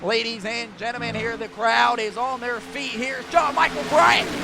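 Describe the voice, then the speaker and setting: Someone with a Southern US accent speaks in a raised, projected voice over noticeable background noise. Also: man. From US South, South Carolina. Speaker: racing commentator. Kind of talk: live commentary. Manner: fast; animated.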